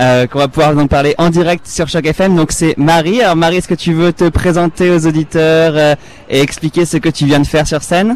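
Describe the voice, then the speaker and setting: At a moderate pace, a man with a fairly high pitch speaks in a normal speaking voice, his loudness very even and his intonation fairly even. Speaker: field reporter. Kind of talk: live field reporting. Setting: outdoor festival.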